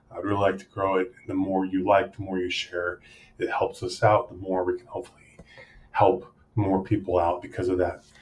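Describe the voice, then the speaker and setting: Very deep and low in pitch, a man's somewhat breathy voice moves at a moderate pace in a monotone, flat intonation with big swings in loudness. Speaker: channel host. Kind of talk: casual video intro.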